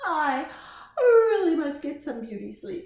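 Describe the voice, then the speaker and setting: A put-on character voice, high in pitch, speaks at a fairly slow pace with a slight echo. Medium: read story. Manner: meowing interjections.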